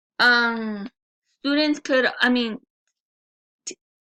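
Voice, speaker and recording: A speaker with a Spanish accent is heard against a quiet background, in dry, close sound with no echo. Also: woman. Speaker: student. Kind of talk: class presentation.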